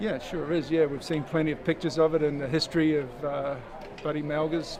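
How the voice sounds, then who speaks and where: Speaking with an Australian accent, a man delivers flat, monotone lines at a fairly quick pace and fairly high pitch against noticeable background noise. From Australia, Sydney. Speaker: sailor. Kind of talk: interview.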